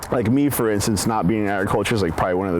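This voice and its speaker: Noticeable background noise behind a fairly low-pitched male voice. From eastern Oregon, US. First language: Spanish. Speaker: medical researcher. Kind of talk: personal interview narrative.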